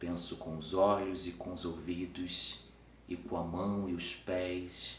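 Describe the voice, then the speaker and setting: Over noticeable background noise, a man with a very deep, low pitch speaks at a very slow pace. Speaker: teacher. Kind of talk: improvised philosophical talk to camera. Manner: halting, some stumbles.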